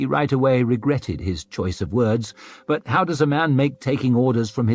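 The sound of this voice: The speaker reads in an unforced voice.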